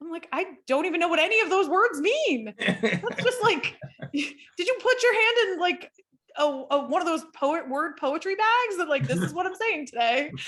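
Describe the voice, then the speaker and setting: A woman speaks at a moderate pace in an extremely high pitch. Her pitch swings very widely. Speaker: panel guest. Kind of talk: casual panel discussion.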